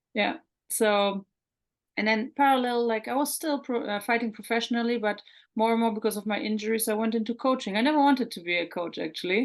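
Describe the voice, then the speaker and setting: A woman with a German accent talks at a very fast pace, fairly high in pitch with ordinary pitch variation, against a quiet background. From Germany, Hamburg. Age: 30s. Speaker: mental performance coach. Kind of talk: interview.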